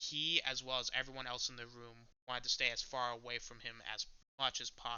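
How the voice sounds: Heard against a quiet background, it is a natural reading voice.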